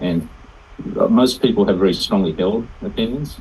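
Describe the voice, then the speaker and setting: A man with an Australian accent at a moderate pace. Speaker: participant in online group call. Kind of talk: casual discussion. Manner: halting, many fillers.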